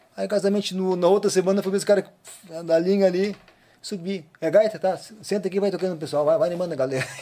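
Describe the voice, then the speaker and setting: The delivery is very fast, with fairly even intonation. Noticeable background noise sits behind it. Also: man, high pitch for a man. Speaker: accordion player and teacher. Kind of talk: casual interview, storytelling.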